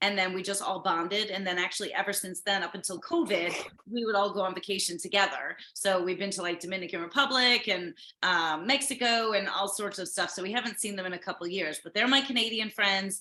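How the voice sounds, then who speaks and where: A woman talks at a very fast pace, her pitch medium with ordinary variation. Noticeable background noise runs under the recording. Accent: American. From US. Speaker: livestream host. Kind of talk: casual chat. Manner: talkative, interrupts a lot.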